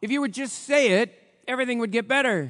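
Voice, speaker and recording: A man talks against a quiet background. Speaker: pastor. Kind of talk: sermon.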